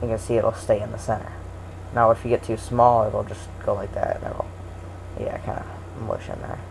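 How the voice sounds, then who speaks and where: Someone talks at a fairly quick pace with long, frequent pauses over noticeable background noise. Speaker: tutorial maker. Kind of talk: tutorial. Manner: hesitant, many fillers.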